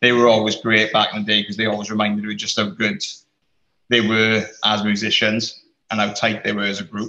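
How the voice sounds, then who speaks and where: A man with a South Wales Valleys accent, a bright, sharp tone, and monotone, flat intonation at a fairly quick pace. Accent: South Wales Valleys Welsh English. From South Wales Valleys, Rhondda/Aberdare. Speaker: creative industry worker, band fan. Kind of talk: casual chat.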